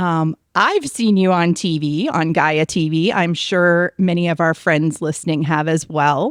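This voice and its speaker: A normal speaking voice moves at a fairly slow pace. The recording is very clean with a silent background, and the sound is dry and close with no echo. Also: woman. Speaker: podcast host. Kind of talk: podcast interview host.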